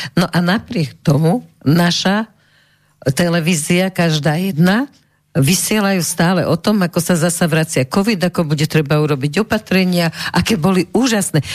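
Speaking at a moderate pace, a woman has an ordinary speaking voice with a fairly low pitch. Her pitch variation is ordinary and her loudness very even. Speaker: radio talk show host. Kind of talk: radio interview. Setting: studio.

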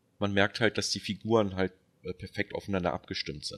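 This man has a plain, everyday voice, pitched fairly low, with fairly even intonation. The sound is dry and close, with no echo. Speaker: film podcast co-host. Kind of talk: casual chat.

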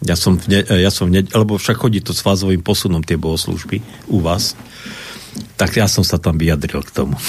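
Very deep, low male voice with noticeable background noise behind it. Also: ordinary pitch variation, fairly quick pace. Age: old. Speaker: Lutheran pastor and historian. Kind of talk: radio discussion. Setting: radio studio.

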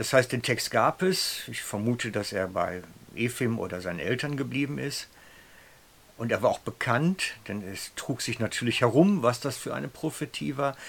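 Using vocal fry and very wide pitch swings, a man at a medium pitch talks at a moderate pace. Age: 50s. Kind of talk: sermon-style storytelling.

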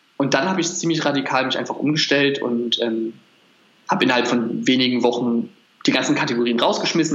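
Over noticeable background noise, the speaker goes at a very fast pace with ordinary pitch variation. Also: man. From Berlin. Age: 20s. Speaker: nutrition coach. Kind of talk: interview.

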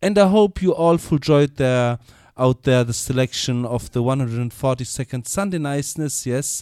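At a fairly slow pace, a man with a German accent speaks at medium pitch in a dark, mellow tone with ordinary pitch variation, on a very clean recording with a silent background and a dry, close sound with no echo. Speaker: reggae radio DJ. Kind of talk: live radio DJ announcements. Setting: live radio studio broadcast. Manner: relaxed, informal.

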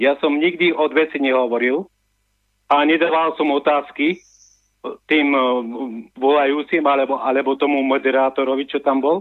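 Speaking in a flat monotone at a moderate pace, a man with a fairly high pitch leaves long, frequent pauses. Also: very even loudness. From Slovakia, Orava (Námestovo). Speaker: radio caller. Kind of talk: phone-in chat. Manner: halting.

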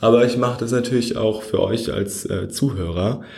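A man talks in a dark, mellow tone. Room echo can be heard. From Germany, Frankfurt. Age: 20s. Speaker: podcast host. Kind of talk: solo podcast monologue. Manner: casual, with frequent fillers.

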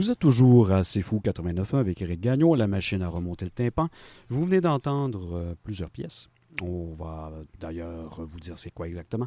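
A man's very deep, low voice with a dark, mellow tone and a Quebec accent, fairly quick and lively in intonation, with big swings in loudness, dry and close with no echo on a very clean recording with a silent background. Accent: Québécois French. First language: French. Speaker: radio music show host. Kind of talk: radio music presentation.

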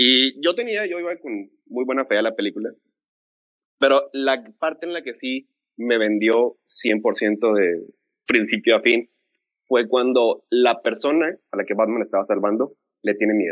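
A man with a Mexican accent, medium pitch, lively intonation and a fairly slow pace. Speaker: film fan panelist. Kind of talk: casual chat.

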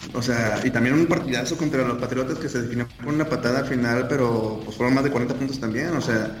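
Amid noticeable background noise and audible room echo, a man speaks at a fairly quick pace with a medium pitch. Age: 30s. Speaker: NFL podcast panelist. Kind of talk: casual chat.

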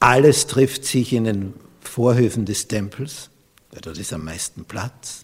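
Lively intonation marks this man's fairly low, somewhat breathy voice. He speaks at a very slow pace. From Austria. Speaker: pastor. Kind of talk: sermon.

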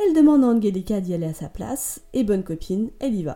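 Fairly quick speech from a woman, dark and mellow in tone, with lively intonation. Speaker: podcast host. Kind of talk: storytelling monologue. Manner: animated. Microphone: sound problem for about half the episode.

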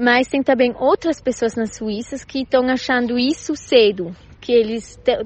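Her pitch is high, and the woman's speech shows ordinary pitch variation. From Switzerland. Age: 20s. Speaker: primary school teacher. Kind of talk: recorded testimony. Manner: halting.

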